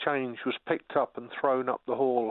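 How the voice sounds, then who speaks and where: In a normal speaking voice, a man talks at a moderate pace and medium pitch. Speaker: caller. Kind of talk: storytelling chat. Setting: phone call.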